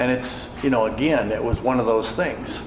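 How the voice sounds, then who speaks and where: Someone with an American accent talks at a fairly quick pace. The recording has audible room echo and noticeable background noise. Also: man. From Wisconsin, US Midwest. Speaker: AA speaker. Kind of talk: testimony. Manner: conversational, many fillers.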